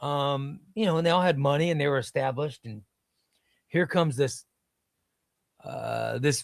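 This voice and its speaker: Someone with a Midwestern US accent talks at a moderate pace with long, frequent pauses in a very clean recording with a silent background. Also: man, fairly high pitch for a man, ordinary pitch variation. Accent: US Midwest. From Illinois (Chicago, then small downstate town). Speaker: comics streamer. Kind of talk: casual chat. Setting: live stream.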